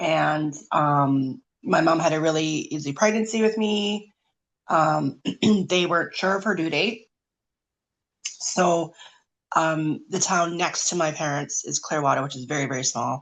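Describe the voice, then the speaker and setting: Speaking in a Canadian accent, a woman with a very deep, low pitch moves at a fairly slow pace with ordinary pitch variation and long, frequent pauses against a quiet background. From Canada, rural British Columbia. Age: 40s. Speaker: omphalocele survivor. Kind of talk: testimony, partly read aloud.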